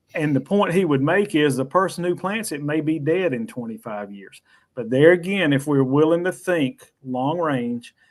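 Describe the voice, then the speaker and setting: A man in a Southern US accent, fairly high-pitched, with lively intonation at a moderate pace. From US South. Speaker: financial educator on whole life insurance. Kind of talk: panel discussion.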